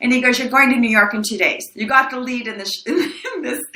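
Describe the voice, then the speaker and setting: In a raised, projected voice with an animated tone, the speaker goes at a moderate pace amid noticeable background noise and audible room echo. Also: woman. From El Paso, Texas (born in Mexico). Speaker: actress. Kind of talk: interview. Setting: podcast.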